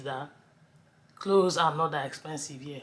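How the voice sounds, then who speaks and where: A woman with a Nigerian accent and a very deep, low pitch. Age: 30s. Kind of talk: casual talk to camera.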